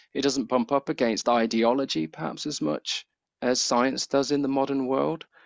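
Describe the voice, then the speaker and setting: A man speaks in a British accent at a medium pitch. His pace is moderate. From Britain. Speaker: science communication researcher and lecturer. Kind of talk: Q&A after a seminar talk.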